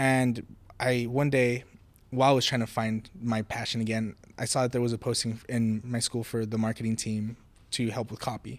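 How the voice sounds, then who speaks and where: A man with a Spanish accent speaks at a moderate pace and medium pitch, his intonation monotone and flat. The recording is very clean, with a silent background. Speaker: college program intern. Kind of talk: casual interview podcast. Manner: repetitive false starts.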